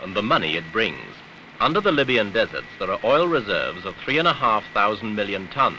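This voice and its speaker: Over noticeable background noise, a man talks at a fairly quick pace and medium pitch, with lively intonation. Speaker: newsreel narrator. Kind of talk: vintage newsreel narration, dramatic and authoritative. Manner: grave, emphatic, declamatory.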